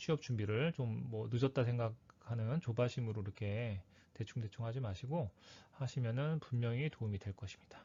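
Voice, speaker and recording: Somewhat breathy, a man speaks at a moderate pace. His pitch shows ordinary variation. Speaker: career coach / lecturer. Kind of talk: lecture.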